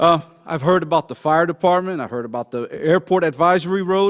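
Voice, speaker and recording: High-pitched man with a slight non-native accent, moderate pace and ordinary pitch variation, in a dry, close sound with no echo. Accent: slight foreign twang. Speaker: citizen speaking at public comment. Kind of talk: public comment speech.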